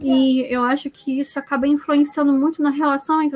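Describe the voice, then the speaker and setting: A woman with high pitch speaks over noticeable background noise. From Brazil. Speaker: IT professional. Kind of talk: casual chat.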